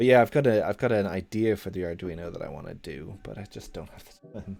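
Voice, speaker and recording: Someone with a slight Irish accent talks at a moderate pace over music in the background. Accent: mild Irish. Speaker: programming livestreamer. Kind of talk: casual live-stream chat. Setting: live stream. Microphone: good audio quality.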